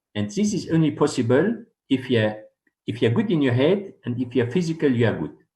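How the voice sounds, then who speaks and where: A man with a medium-pitched, somewhat breathy voice and a dark, mellow tone talks at a fairly quick pace. His pitch swings very widely. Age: 60s. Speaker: dentist. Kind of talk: interview. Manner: halting.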